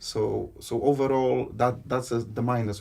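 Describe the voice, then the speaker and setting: A man with a dark, mellow tone and vocal fry speaks with ordinary pitch variation. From Poland. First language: Polish. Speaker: interviewee, Polish immigrant and political candidate. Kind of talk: interview. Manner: halting, with repetitions.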